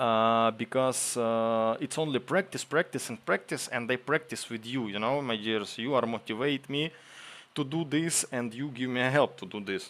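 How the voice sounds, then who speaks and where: With a Ukrainian accent, a man speaks at a moderate pace and medium pitch, with ordinary pitch variation. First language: Ukrainian or Russian. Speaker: streamer, military translator. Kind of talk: live stream chat. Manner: halting.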